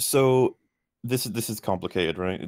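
The speaker has a Welsh accent and fairly even intonation. The recording is very clean, with a silent background. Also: man. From Wales. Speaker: YouTube film critic. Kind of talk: casual chat.

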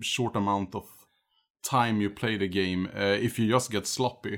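The recording is very clean, with a silent background. A man with a normal speaking voice talks at a moderate pace, his medium pitch showing ordinary pitch variation. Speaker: guest gamer. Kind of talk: casual chat.

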